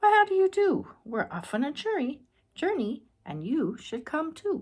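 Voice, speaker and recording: A woman performs a put-on character voice, high in pitch with very wide pitch swings. Her pace is moderate. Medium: read story.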